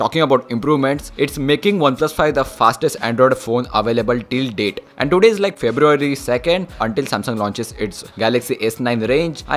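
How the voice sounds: With hardly any pauses, a man talks at a fairly quick pace in a medium pitch and lively intonation, against noticeable background noise.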